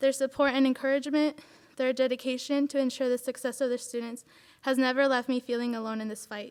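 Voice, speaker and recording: Fairly quick speech comes from a woman at a high pitch, with a Spanish accent. Her intonation stays monotone and flat. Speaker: student speaker.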